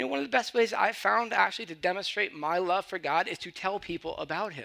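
Speaking at a fairly quick pace, a man with a high pitch uses a raised, projected voice and lively intonation. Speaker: pastor. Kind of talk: sermon.

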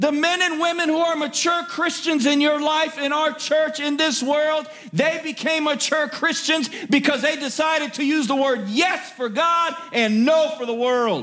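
A man speaks in a raised, projected voice with an animated tone. His pace is fairly slow, with hardly any pauses and ordinary pitch variation. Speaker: preacher. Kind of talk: sermon. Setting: church. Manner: animated, exhortative pulpit delivery that directly addresses the congregation; emphatic, repeats key phrases and pauses for 'amen' responses.

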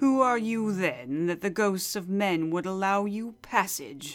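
A man uses a put-on character voice, pitched high with lively intonation. He goes at a fairly slow pace. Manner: imperious, questioning.

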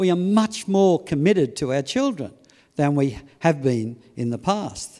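In an Australian accent, a man speaks at a high pitch with very wide pitch swings. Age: 60s. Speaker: preacher. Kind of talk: sermon. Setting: church service.

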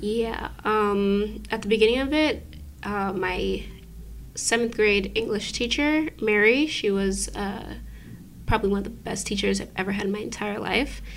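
This woman has a normal speaking voice, medium in pitch with ordinary pitch variation, and she goes at a moderate pace. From New York (Brooklyn). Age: 20s. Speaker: writer of the film's story. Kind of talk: interview.

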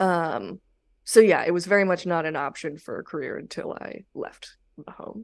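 A woman with a Californian accent and fairly low pitch at a moderate pace, ordinary pitch variation and big swings in loudness against a quiet background. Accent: Californian American English. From Los Angeles, San Fernando Valley. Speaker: stand-up comedian. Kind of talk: casual chat. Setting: video call.

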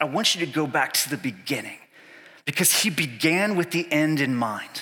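This man has a slight Southern US accent, a fairly high pitch and a bright, sharp tone. He moves at a fairly quick pace with lively intonation. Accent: slight Southern twang. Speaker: pastor. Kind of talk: sermon. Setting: church. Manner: animated.

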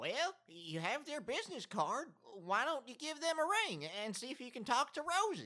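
A man projects a raised voice at an extremely high pitch, his pitch swinging very widely at a moderate pace. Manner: dry, matter-of-fact.

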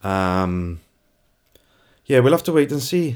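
A man with a South Welsh accent and lively intonation at a moderate pace, in a very clean recording with a silent background. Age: 40s. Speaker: photographer. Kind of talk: casual interview.

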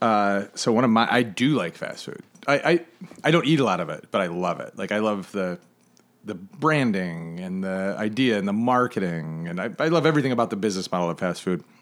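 A normal speaking voice from a man with an American accent, fairly low in pitch, with lively intonation and a fairly quick pace. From Michigan (Flint). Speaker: chef and podcast host. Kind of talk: casual chat. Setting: living room.

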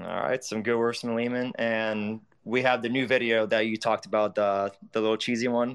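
Speaking at a moderate pace with hardly any pauses, a man holds a monotone, flat intonation at a medium pitch. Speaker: guest. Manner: halting, many fillers.

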